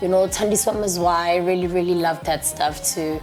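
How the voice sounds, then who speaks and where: With music in the background, a woman talks at a fairly quick pace in a South African accent. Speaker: musician and TV presenter. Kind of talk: interview.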